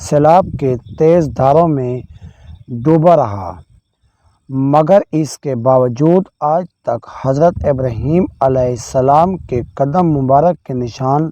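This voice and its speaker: A man with a fairly high pitch speaks in a dark, mellow tone with ordinary pitch variation. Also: dry, close sound with no echo. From Pakistan. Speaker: voice over artist. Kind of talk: religious storytelling narration.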